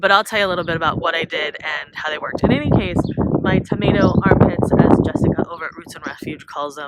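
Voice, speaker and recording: At a fairly quick pace, a woman with a fairly low pitch speaks over noticeable background noise. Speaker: home gardener vlogger. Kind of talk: garden tour. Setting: outdoors. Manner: casual, meandering.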